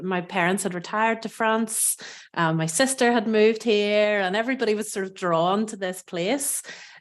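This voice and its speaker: Against a quiet background, a woman talks in an Irish accent. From Northern Ireland. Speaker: food and cooking educator. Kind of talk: podcast interview.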